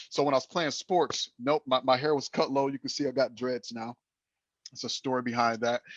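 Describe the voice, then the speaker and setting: Recorded dry and close with no echo, a man of medium pitch speaks at a fairly quick pace with fairly even intonation. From Flint, Michigan, US. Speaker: salesperson, team member. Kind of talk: casual group discussion. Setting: video call. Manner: halting, many fillers and repetitions.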